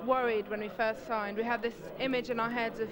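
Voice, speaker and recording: A woman with an English accent and a high pitch, talking at a very fast pace, crowd noise in the background. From England (born in Brazil, moved at eight). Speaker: singer. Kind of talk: casual interview.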